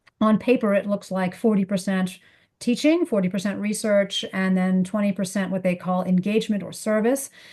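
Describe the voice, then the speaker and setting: A woman speaks with a dark, mellow tone that is somewhat breathy, her intonation fairly even. The background is quiet. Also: medium pitch for a woman, moderate pace. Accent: American. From United States. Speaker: economics professor. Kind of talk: interview seminar.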